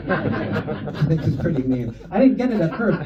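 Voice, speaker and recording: Amid noticeable background noise and audible room echo, a man's voice moves in very wide pitch swings. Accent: American. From California, San Francisco area. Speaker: stand-up comedian. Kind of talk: stand-up. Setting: stage with audience. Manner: casual, filler-heavy.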